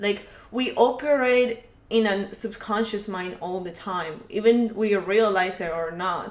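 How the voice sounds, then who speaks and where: A non-native accent with audible room echo. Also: woman, medium pitch for a woman, ordinary pitch variation, big swings in loudness. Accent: foreign accent, noticeable. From Colombia. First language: Spanish. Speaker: podcast guest. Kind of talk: casual chat. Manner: halting, many fillers.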